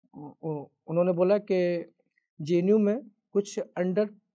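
A man speaks with a fairly high pitch and a dark, mellow tone, his intonation fairly even against a quiet background. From Mainpuri district, Uttar Pradesh, India; Uttar Pradesh. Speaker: civil services officer. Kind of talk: motivational talk; motivational talk, personal story. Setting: stage. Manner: halting. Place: studio. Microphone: lapel.

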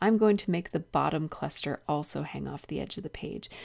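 Vocal fry runs through a woman's speech. Her recording is very clean, the background silent. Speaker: scrapbooking video creator. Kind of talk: tutorial. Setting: home, early morning. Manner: soft-spoken.

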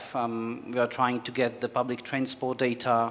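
A man with a Czech accent, medium pitch, at a moderate pace. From Czech Republic. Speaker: company executive; panelist. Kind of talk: panel discussion. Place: hall.

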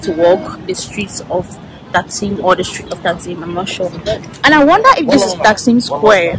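A woman at a moderate pace, with lively intonation, big swings in loudness, and noticeable background noise. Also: dry sound with no echo. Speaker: travel vlogger. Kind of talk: casual vlog chat. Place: street. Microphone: phone near.

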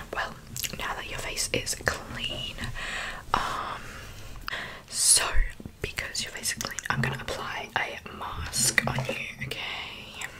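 A woman whispers very slowly, pausing often and at length. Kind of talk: soft-spoken roleplay chat. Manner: soft, close-mic ASMR speech. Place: home room. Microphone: studio mic.

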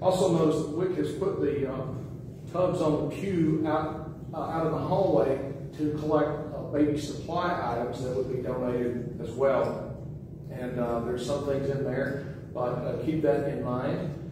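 Strong room echo and noticeable background noise surround a man speaking at a fairly slow pace with fairly even intonation. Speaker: pastor giving announcements. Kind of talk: church announcements. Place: church.

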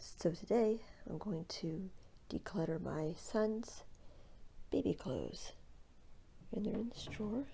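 Soft-spoken and relaxed, a woman with a dark, mellow tone and vocal fry speaks at a fairly slow pace with long, frequent pauses and ordinary pitch variation over light background noise. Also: medium pitch for a woman. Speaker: stay-at-home mom. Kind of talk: ASMR decluttering talk to camera. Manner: soft-spoken, relaxed. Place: home room. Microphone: phone near.

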